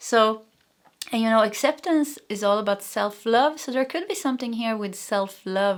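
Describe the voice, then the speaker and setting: Speaking with a Swedish accent, a woman uses lively intonation, a fairly high pitch and a moderate pace. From Sweden. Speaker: tarot reader. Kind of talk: tarot reading. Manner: halting.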